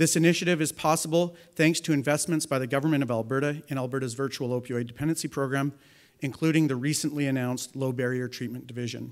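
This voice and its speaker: Against a quiet background, a man with a Canadian accent talks very fast in a fairly high voice with fairly even intonation. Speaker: addiction medicine physician. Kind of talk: press conference statement. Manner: halting. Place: hall. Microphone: podium.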